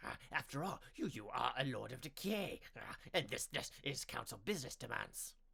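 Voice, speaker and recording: Using a put-on character voice, a man speaks at a fairly high pitch. He keeps a moderate pace with hardly any pauses. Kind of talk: audiobook narration. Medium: read story. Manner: halting, twitchy.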